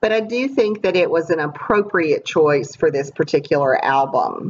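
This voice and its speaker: At a moderate pace, a woman speaks in a raspy, fairly low voice with lively intonation. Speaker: scrapbooker. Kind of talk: casual talk to camera.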